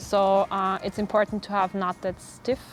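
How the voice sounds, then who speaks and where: With music in the background, a woman speaks at medium pitch and a moderate pace. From Austria. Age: 20s. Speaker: professional sailor. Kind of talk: interview talk about her sport. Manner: halting, many fillers.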